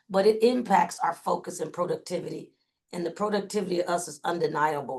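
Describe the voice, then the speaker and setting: A plain, everyday voice from a woman, moderate in pace and fairly low in pitch. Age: 60s. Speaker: communication trainer. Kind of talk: webinar presentation. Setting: video call.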